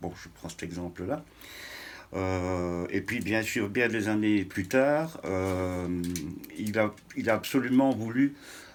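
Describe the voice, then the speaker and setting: Speaking at a very slow pace, a man talks in a fairly low voice. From Belgium (Huy, Wallonia). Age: 60s. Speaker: interviewee on cycling history. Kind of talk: interview. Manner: hesitant.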